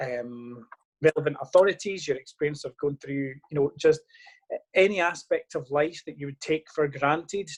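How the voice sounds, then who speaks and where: Recorded with a dry, close sound and no echo, a man speaks at a moderate pace with a fairly high pitch and a somewhat breathy quality. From western Scotland. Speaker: local politician. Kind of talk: interview.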